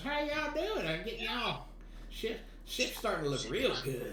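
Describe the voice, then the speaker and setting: In a put-on character voice with a Southern US accent, a man drawls at a moderate pace, with a slight echo around him. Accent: Southern US drawl. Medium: actual play. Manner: folksy, drawling.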